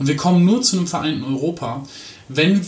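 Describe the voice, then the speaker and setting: With audible room echo and noticeable background noise, a man speaks at a fairly quick pace with lively intonation. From Aachen, western Germany. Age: 20s. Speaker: politician. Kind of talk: interview.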